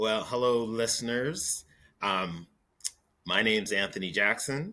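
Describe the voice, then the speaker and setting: A man speaks at a medium pitch with a bright, sharp tone. His pace is very slow. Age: 60s. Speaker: retired federal ombudsman. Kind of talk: casual chat.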